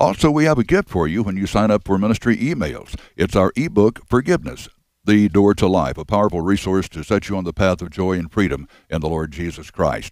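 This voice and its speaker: Fairly quick speech comes through with a dry sound, no echo and a quiet background. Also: man. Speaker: radio announcer. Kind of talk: program announcements. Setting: studio. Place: studio. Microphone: headset.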